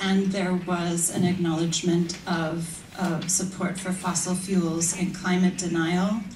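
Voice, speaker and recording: With an American accent, a woman speaks at a medium pitch and a fairly slow pace in a monotone, flat intonation, with audible room echo and noticeable background noise. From United States. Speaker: academic. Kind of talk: conference talk. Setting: stage with audience.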